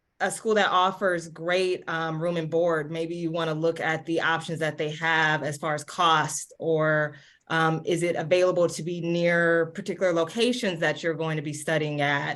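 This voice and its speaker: A woman speaks at a fairly slow pace with a fairly low pitch. She has an unremarkable speaking voice, heard over a quiet background. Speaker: admissions consultant. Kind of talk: webinar presentation.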